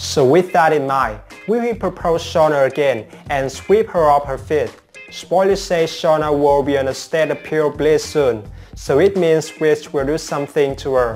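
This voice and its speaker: Faint background music behind a man speaking at a moderate pace. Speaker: soap opera spoiler channel host. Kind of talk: commentary. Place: home room. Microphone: lapel.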